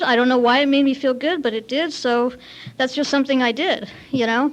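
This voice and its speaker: A woman with a Californian accent, high-pitched, talking at a very fast pace with fairly even intonation. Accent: Californian American. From US West Coast, Santa Monica, Lithuanian community. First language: Lithuanian. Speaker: AA speaker. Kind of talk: recovery talk at AA meeting. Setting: meeting with audience. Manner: casual, filler-heavy.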